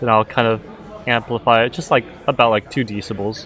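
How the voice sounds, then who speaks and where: The man's voice sits at a medium pitch. Noticeable background noise can be heard. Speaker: livestream host of an integration contest. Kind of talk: live event announcing. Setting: livestream. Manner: casual, filler-heavy; loud.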